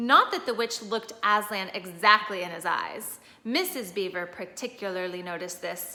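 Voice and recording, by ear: Someone is reading aloud in a natural voice.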